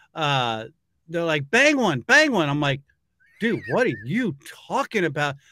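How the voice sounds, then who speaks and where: A man talks at a fairly slow pace with long, frequent pauses. His fairly high voice has a bright, sharp tone, very wide pitch swings and a dry sound with no echo. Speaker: show host. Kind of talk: casual interview talk. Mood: laughing, playful. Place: home room.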